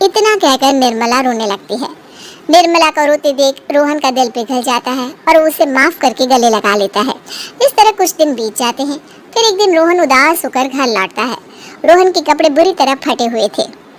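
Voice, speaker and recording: A female-sounding, cartoonish character voice, high in pitch, at a moderate pace. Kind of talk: moral story narration.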